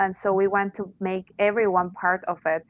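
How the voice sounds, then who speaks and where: Monotone, flat intonation with a Spanish accent. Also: woman. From Mexico. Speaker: arts organization representative. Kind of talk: interview. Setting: online audio space. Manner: halting.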